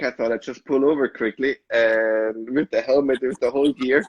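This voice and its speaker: Speaking at a moderate pace, a man with an Austrian accent uses a medium pitch. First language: German. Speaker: sommelier. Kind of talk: casual chat. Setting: live video stream.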